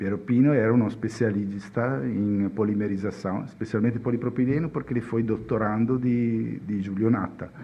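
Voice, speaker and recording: With a strong Italian accent, a man speaks at a moderate pace and medium pitch, using ordinary pitch variation and hardly any pauses. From Italy. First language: Italian (speaking Portuguese). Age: 50s. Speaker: chemist. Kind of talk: podcast interview. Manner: halting.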